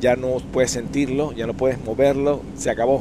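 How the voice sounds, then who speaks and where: A medium-pitched male voice is heard along with noticeable background noise. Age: 60s. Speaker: YouTube storyteller. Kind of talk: storytelling monologue.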